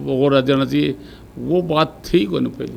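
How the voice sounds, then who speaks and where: A man with a Rajasthani accent and a fairly high pitch. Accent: Rajasthani (Shekhawati) Hindi. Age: 80s+. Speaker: veteran politician. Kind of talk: interview.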